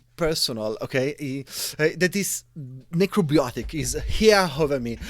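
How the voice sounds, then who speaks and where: A man with an Italian accent speaks at a fairly high pitch with lively intonation. The recording is very clean, with a silent background. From Italy. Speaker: game shop owner and game author. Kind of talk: interview. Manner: halting.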